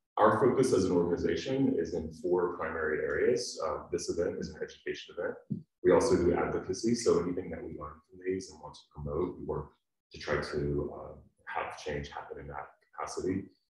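Against a quiet background with audible room echo, a man talks at a fairly quick pace. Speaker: event host. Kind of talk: event introduction. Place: hall. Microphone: camera far.

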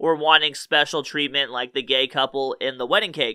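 With fairly even intonation, a man talks at a fairly quick pace over a quiet background. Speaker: online commentator. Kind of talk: commentary. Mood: mocking, amused. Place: studio. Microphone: studio mic.

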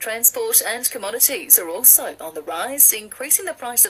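A woman talks at a moderate pace with a high pitch. Her intonation is lively. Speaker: radio newsreader. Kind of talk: news bulletin reading. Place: studio.

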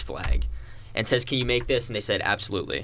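Male voice, bright and sharp in tone, with vocal fry and ordinary pitch variation. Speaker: college radio host. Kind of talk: casual talk radio discussion. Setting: radio studio.

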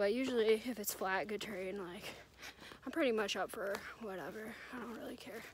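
With an American accent and a normal speaking voice, a woman talks at a fairly quick pace in a fairly high pitch, with ordinary pitch variation and big swings in loudness, the sound dry with no echo and light background noise behind her. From New Jersey. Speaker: thru-hiker vlogger. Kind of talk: casual vlog narration. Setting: outdoors on hiking trail. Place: forest. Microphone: phone near.

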